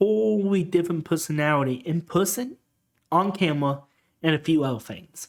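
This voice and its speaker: On a very clean recording with a silent background, a man with a high pitch and lively intonation speaks at a fairly slow pace. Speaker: YouTuber. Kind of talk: personal testimony. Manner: halting.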